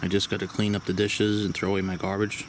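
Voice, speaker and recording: A man speaks at a fairly low pitch in a flat monotone. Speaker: camping vlogger. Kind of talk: casual vlog narration. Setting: outdoors at campsite. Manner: quiet.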